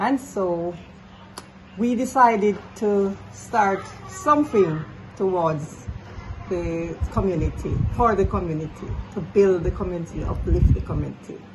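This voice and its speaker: A woman talks at a fairly slow pace, with long, frequent pauses. The room echo is audible and there is noticeable background noise. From Jamaica, rural Saint Elizabeth. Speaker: community foundation organizer. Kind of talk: interview.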